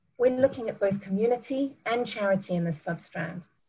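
The speaker talks at a fairly quick pace and sounds somewhat breathy. The background is quiet. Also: woman. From South Africa. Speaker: business travel professional, panelist; presenter. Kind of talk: presentation. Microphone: webcam.

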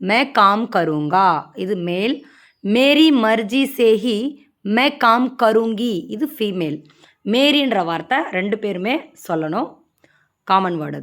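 A woman speaks with lively intonation and big swings in loudness. The recording is very clean, with a silent background. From Maharashtra, India (Tamil-speaking family). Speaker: Hindi language teacher. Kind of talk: tutorial.

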